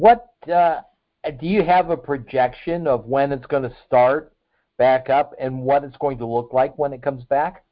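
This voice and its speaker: A man with an American accent in an unremarkable speaking voice, fairly high in pitch, fairly slow, with ordinary pitch variation and big swings in loudness. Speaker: podcast host. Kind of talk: casual interview. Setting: phone or video call.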